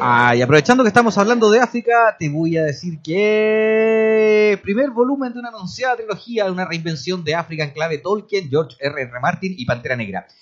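Over music in the background, a man with a high pitch talks at a fairly quick pace, his pitch swinging very widely. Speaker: radio host. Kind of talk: radio interview; read-out book promo.

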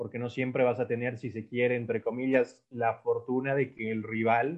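A man speaks at a moderate pace with a medium pitch. He has a plain, everyday voice. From Ecuador. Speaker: football analyst. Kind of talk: casual football analysis chat.

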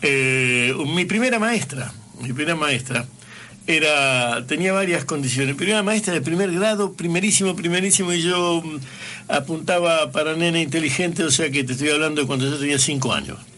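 Here a man speaks at a fairly high pitch in a bright, sharp tone, with ordinary pitch variation and very even loudness. Room echo is audible. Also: moderate pace. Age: 70s. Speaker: radio host. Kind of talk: radio interview.

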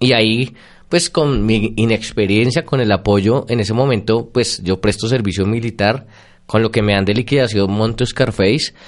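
Against a quiet background, a man with a Bogotá accent speaks at a moderate pace and medium pitch, with fairly even intonation and very even loudness. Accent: Bogotá Colombian Spanish. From Bogotá, Colombia. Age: 30s. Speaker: psychologist and lecturer. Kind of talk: interview. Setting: radio studio with Facebook live stream.

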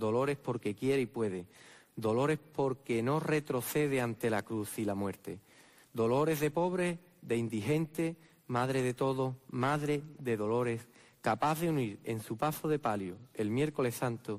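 Speaking with an Andalusian accent, a man talks at a medium pitch. He goes at a fairly slow pace with very even loudness. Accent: Andalusian (Jerez). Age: 30s. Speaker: Holy Week proclaimer (pregonero). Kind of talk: preacher oratory, solemn pregón. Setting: theatre stage with audience. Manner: rhetorical, solemn, impassioned, rhythmic.

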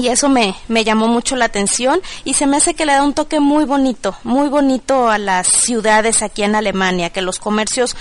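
Lively intonation moves along at a moderate pace over noticeable background noise. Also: woman. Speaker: Mexican expatriate. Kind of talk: personal testimony.

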